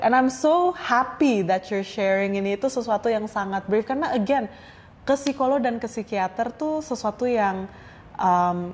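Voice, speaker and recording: With a normal speaking voice, a woman speaks at a moderate pace, her pitch fairly high and her intonation lively. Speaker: podcast host. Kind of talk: casual podcast conversation.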